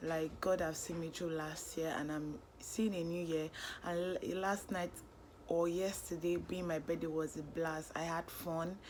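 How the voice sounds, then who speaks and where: A woman at a fairly slow pace, flat and monotone in intonation. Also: fairly low pitch for a woman. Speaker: vlogger. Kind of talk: casual vlog talk. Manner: halting.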